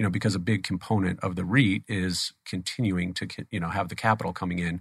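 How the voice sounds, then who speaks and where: A man's very deep, low voice with an American accent at a very fast pace, ordinary pitch variation, and a very clean recording with a silent background. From Phoenix, Arizona. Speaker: stem cell therapy company CEO. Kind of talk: interview. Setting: studio.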